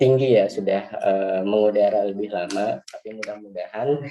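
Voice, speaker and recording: Over noticeable background noise, a man with a fairly low-pitched voice talks at a fairly quick pace. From West Java, Bekasi Regency. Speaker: nurse. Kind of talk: webinar presentation. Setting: video call. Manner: hesitant, many fillers.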